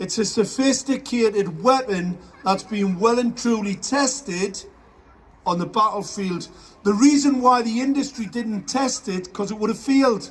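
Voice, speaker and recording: A loud man with an extremely high pitch, ordinary pitch variation and a moderate pace. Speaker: activist. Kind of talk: speech to a crowd. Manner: animated.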